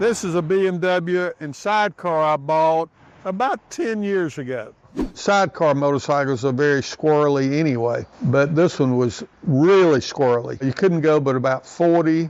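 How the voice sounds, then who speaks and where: A man's fairly high voice with a Southern US accent, ordinary pitch variation and a moderate pace. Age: 70s. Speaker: motorcycle enthusiast and shop owner. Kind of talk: interview. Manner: casual.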